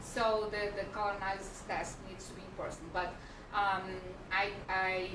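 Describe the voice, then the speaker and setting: A woman at medium pitch speaks with a Portuguese accent in a monotone, flat intonation at a moderate pace. Noticeable background noise and audible room echo fill the recording. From Brazil. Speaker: personal stylist. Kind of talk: casual chat. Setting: livestream in a design studio.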